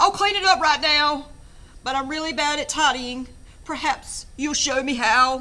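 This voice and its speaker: A high-pitched put-on character voice from a woman, delivered at a moderate pace. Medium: read story.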